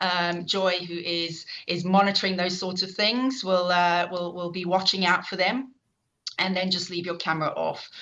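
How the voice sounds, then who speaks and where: In a South African accent, a woman speaks with a bright, sharp tone and fairly even intonation. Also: medium pitch for a woman, moderate pace. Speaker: professor and event chair. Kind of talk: online event introduction. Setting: online video event. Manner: hesitant, many fillers.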